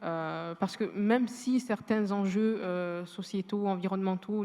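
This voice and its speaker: The speaker is a woman with a medium-pitched voice. Her intonation is monotone and flat. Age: 20s. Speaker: law student and entrepreneur. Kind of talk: panel testimony. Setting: university amphitheatre with audience. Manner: hesitant, repeats words.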